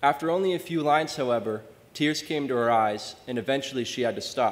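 A man talks at a fairly quick pace. He has an American accent. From Maine, US. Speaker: undergraduate scholarship student; speaker. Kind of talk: prepared introduction speech. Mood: warm, grateful. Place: hall.

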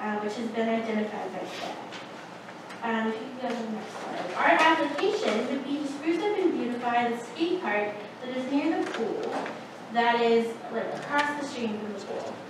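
A woman's voice with ordinary pitch variation and long, frequent pauses, amid noticeable background noise and strong room echo. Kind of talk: presentation to board. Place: meeting room. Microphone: camera far.

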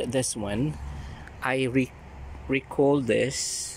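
Over light background noise, a man speaks with a dry sound that has no echo. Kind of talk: casual vlog chat. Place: garden. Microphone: phone near.

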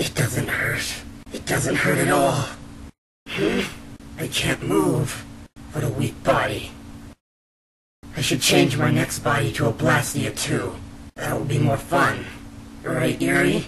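Raspy and at a medium pitch, a man talks at a fairly slow pace with long, frequent pauses. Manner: quiet, unhinged, mocking.

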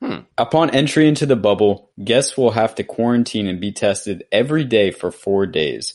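The speaker has an ordinary speaking voice with ordinary pitch variation. There are hardly any pauses. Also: man, medium pitch for a man, moderate pace. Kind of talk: casual chat.

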